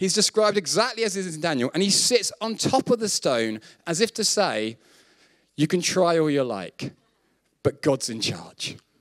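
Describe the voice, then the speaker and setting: At a fairly slow pace, a man speaks with very wide pitch swings in a dry, close sound with no echo. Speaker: preacher. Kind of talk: sermon. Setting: stage with audience in church.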